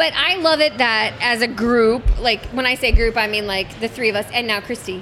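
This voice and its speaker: An animated woman with a fairly high pitch and ordinary pitch variation talks at a moderate pace, with hardly any pauses. Noticeable background noise can be heard. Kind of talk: casual chat among friends. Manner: loud, animated, big gestures.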